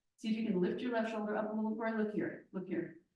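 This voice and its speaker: A woman's pitch varies in an ordinary way. Room echo is audible. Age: 60s. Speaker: yoga teacher. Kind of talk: guided yoga class instruction.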